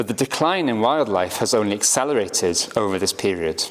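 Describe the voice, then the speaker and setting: A man with a Welsh accent and very wide pitch swings. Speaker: writer and naturalist. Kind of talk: lecture; reading aloud.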